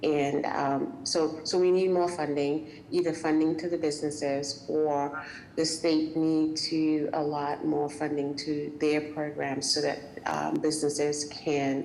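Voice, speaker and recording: With a West Indian accent, a woman speaks at a very deep, low pitch and a fairly slow pace, in monotone, flat intonation with very even loudness. Noticeable background noise and audible room echo are present. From West Indies. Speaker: small business owner. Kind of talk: public meeting comment. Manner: hesitant, many fillers.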